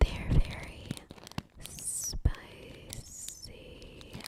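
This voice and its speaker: Whispering from a woman amid noticeable background noise. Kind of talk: ASMR candy-eating talk to camera. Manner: soft-spoken, whispery.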